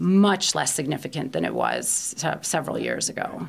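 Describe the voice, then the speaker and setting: Speaking at a moderate pace, a woman with a Baltimore accent uses a very deep, low voice with vocal fry. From US, Baltimore. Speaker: energy policy expert. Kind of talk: interview.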